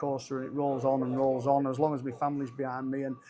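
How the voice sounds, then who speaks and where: Music plays in the background while a man with a Cumbrian accent and a fairly high pitch talks at a fairly quick pace. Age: 60s. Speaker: rugby league head coach. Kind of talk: interview. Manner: halting.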